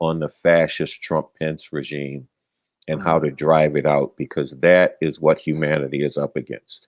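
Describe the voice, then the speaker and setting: A man speaks with an American accent in a very deep, low voice. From United States. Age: 70s. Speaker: political activist. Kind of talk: interview.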